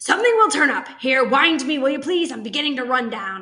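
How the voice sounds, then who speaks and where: Using a put-on character voice, a woman growls in a raspy, high-pitched voice at a fairly quick pace, with very wide pitch swings. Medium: read story. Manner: growling.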